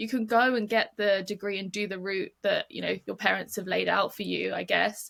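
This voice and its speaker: Hardly pausing at all, a woman speaks at a moderate pace in a British accent. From UK. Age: 20s. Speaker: model and charity program manager. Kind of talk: podcast interview. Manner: casual, with many fillers.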